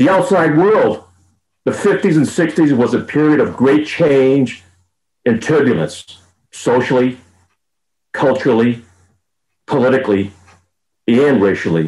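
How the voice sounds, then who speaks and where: At a fairly slow pace, a man speaks with an American accent, leaving long, frequent pauses. His pitch is medium with very wide swings, his loudness very even, and there is vocal fry. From Boston. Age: 70s. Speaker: guest speaker sharing family history. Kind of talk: prepared memoir talk.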